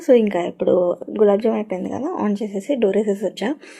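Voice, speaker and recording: Soft-spoken and fairly even in intonation, a woman talks at a fairly high pitch over noticeable background noise. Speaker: parenting vlogger. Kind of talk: casual vlog talk. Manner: soft-spoken, speaking quietly.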